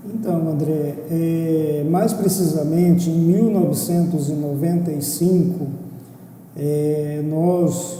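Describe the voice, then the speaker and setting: A man with a fairly high pitch speaks at a very slow pace with fairly even intonation. The room echo is audible, and background noise is noticeable. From Brazil, Mato Grosso do Sul. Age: 60s. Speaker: former business association president, accountant. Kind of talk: interview.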